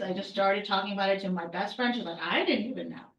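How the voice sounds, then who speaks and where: A woman's very fast speech over noticeable background noise. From Lebanon. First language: not English. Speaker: aspiring author in a coaching group. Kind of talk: group discussion. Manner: halting.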